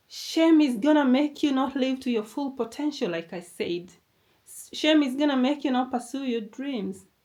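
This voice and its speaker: A woman with a non-native accent speaks at a moderate pace in a high pitch, with ordinary pitch variation and big swings in loudness. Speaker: motivational YouTuber. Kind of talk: motivational talk.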